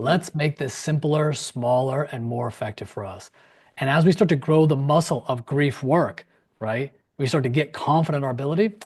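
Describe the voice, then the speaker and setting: Against a quiet background, a man speaks in a fairly high, somewhat breathy voice with ordinary pitch variation. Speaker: grief counselor and former acupuncturist. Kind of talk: interview on a live-streamed virtual summit. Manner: fast; animated.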